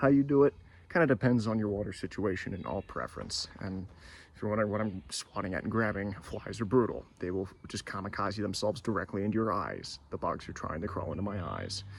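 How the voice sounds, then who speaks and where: Soft-spoken, a man with a fairly low pitch talks at a very fast pace with ordinary pitch variation. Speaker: hiker vlogger. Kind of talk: outdoor vlog narration. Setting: outdoors on a hiking trail. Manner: hesitant, many fillers.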